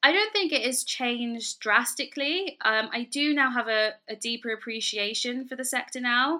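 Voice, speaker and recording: A woman with a London accent speaks at a high pitch in a bright, sharp tone. She keeps a moderate pace with hardly any pauses. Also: ordinary pitch variation, very clean recording, silent background. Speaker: fashion lecturer and entrepreneur. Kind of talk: interview.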